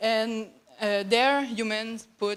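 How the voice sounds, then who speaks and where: Speaking with a French Canadian accent, a woman talks at a fairly slow pace. Her pitch is fairly high. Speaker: graduate student researcher. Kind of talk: conference presentation. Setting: conference hall. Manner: halting, many fillers.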